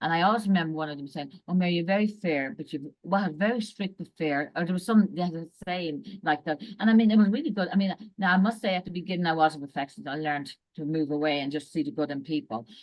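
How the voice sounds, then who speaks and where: A woman with an Irish accent talks very fast in a fairly low voice, her intonation lively. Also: hardly any pauses. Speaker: executive and leadership coach. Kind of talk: casual interview.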